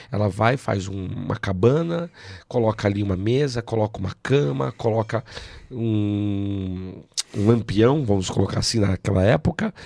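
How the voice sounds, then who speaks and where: The speaker's voice has a dark, mellow tone and lively intonation, moving at a fairly slow pace. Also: man, fairly low pitch for a man. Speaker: pastor. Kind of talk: preaching in an interview.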